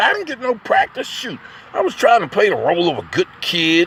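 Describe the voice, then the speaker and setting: An animated voice moves at a moderate pace over noticeable background noise. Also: man. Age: 60s. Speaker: poet and vlogger. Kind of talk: casual spoken monologue. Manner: animated, halting with repetitions.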